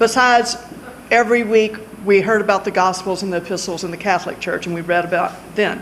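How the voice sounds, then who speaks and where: A woman speaks in a Louisiana accent. Background noise is noticeable behind her. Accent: southern US (Louisiana). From Louisiana, Lake Charles. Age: 60s. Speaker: lawyer, judicial candidate. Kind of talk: award acceptance speech. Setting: public event at a library.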